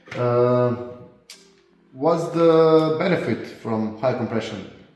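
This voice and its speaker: Man with a Croatian accent, medium pitch, ordinary pitch variation and very slow pace, music in the background and audible room echo. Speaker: car tuner and garage owner. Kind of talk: vlog review. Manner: halting.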